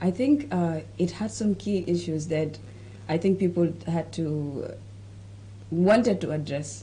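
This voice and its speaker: Speaking at a fairly slow pace, a woman uses a fairly low pitch with vocal fry, a dark, mellow tone, and very wide pitch swings. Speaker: show host. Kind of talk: casual discussion.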